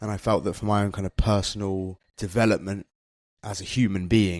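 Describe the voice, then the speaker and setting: In a very clean recording with a silent background, a man with a British accent and a fairly low pitch talks at a fairly quick pace in a monotone, flat intonation. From UK. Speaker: English teacher, former record label manager. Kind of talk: interview. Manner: casual, conversational.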